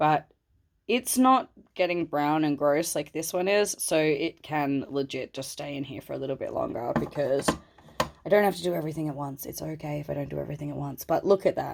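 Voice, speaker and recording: An animated voice with vocal fry moves at a fairly quick pace, showing big swings in loudness and ordinary pitch variation. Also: woman, very deep, low pitch for a woman. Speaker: plant hobbyist vlogger. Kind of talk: casual video tour. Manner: animated, chatty.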